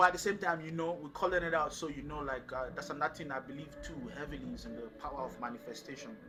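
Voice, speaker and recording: With noticeable background noise and audible room echo, a man talks at a very fast pace with hardly any pauses, his fairly high pitch showing ordinary variation and his loudness swinging widely. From Nigeria. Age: 20s. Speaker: singer-songwriter and producer. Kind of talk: casual interview chat. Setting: backstage before a show.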